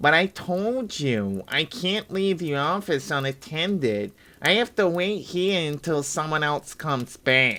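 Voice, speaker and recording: This is a put-on character voice. It swings very widely in pitch at a fairly slow pace. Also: man, fairly high pitch for a man. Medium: read story. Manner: brisk, matter-of-fact.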